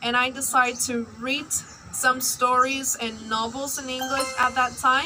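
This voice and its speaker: A woman projects a raised, high-pitched voice in a monotone, flat intonation with hardly any pauses, over noticeable background noise. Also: fairly slow pace. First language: Burmese. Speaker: English learner vlogger. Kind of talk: personal vlog.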